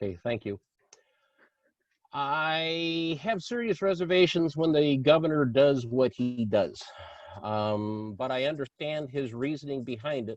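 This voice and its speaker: The man talks in a plain, everyday voice at a fairly high pitch. His pace is fairly slow, and his intonation is lively. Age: 60s. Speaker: political candidate. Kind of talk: candidate forum answer.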